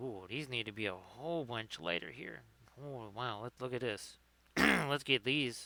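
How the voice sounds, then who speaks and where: A man talks at a fairly slow pace in a medium pitch. His tone is bright and sharp, with ordinary pitch variation. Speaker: miniature painter streaming. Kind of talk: casual live-stream tutorial. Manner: casual, thinking aloud.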